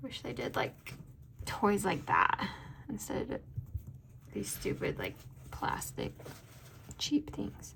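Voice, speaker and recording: Soft-spoken, the speaker goes at a very slow pace with long, frequent pauses amid noticeable background noise. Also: woman. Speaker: planner video creator and sticker shop owner. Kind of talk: casual chat.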